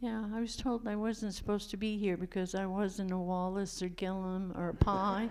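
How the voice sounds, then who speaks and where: At a moderate pace, a woman with an American accent speaks at a medium pitch in a monotone, flat intonation, with audible room echo. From Maine coast, US. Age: 70s. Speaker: retired fisherwoman. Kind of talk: interview. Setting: church, audience.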